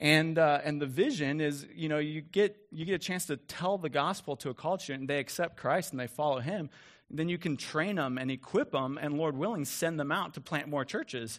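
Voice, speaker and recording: Against a quiet background, a man with an unremarkable speaking voice and a fairly high pitch talks at a fairly quick pace with ordinary pitch variation. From moved around US South and Midwest. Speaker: pastor. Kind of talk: sermon.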